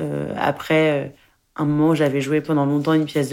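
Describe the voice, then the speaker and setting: In a very clean recording with a silent background, a woman with a very deep, low pitch talks at a fairly quick pace in a monotone, flat way. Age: 20s. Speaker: actress and film director. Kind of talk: interview testimony. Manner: halting.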